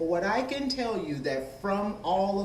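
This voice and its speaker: Noticeable background noise is present. A man talks amid audible room echo. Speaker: business owner and education commissioner. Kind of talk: public question at a town meeting. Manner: loud. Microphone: holds mic far away.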